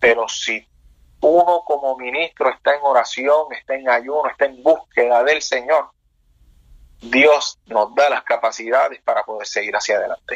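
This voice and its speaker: Fairly high in pitch, a man speaks with a plain, everyday voice. His pace is fairly slow and his intonation fairly even. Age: 30s. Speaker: pastor. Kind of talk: interview testimony.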